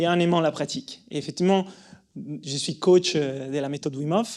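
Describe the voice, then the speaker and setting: In a very clean recording with a silent background, a man speaks at a moderate pace. His voice is fairly high in pitch with ordinary variation and a dark, mellow tone. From Italy. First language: Italian (speaking French). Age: 30s. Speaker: breathing coach and yoga teacher. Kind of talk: conference talk. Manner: halting, many fillers and repetitions.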